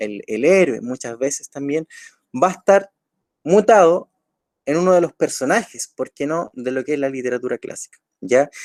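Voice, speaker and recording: Pitch swinging very widely, a man speaks at a moderate pace in a dry, close sound with no echo. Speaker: teacher. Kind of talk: online lecture.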